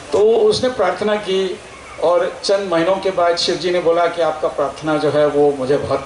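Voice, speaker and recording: A high-pitched man with ordinary pitch variation, amid noticeable background noise and audible room echo. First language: Telugu (speaking Hindi). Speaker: scientist. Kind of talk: public speech. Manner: hesitant, filler words.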